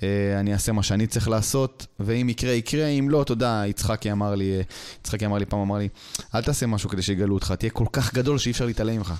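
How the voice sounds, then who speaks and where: Very fast, fairly even-toned speech from a man with a fairly low voice. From Israel, raised in a West Bank settlement. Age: 30s. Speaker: stand-up comedian. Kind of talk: casual chat.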